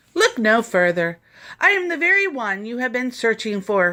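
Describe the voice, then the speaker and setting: A woman puts on a character voice with a fairly high pitch and very wide pitch swings, moving at a moderate pace. The recording is very clean, with a silent background. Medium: read story. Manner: charming, polished.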